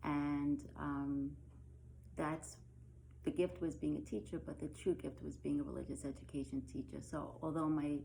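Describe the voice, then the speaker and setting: A woman speaks at a moderate pace. She talks with a slight Brooklyn accent. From Brooklyn, New York. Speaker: religious education teacher. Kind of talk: recorded lesson. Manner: casual, with many filler ums.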